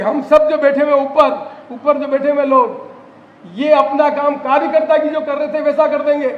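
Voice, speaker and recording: A man's extremely high voice, with ordinary pitch variation, comes at a moderate pace amid noticeable background noise and audible room echo. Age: 70s. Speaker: politician. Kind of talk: political speech. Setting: party workers' convention with audience.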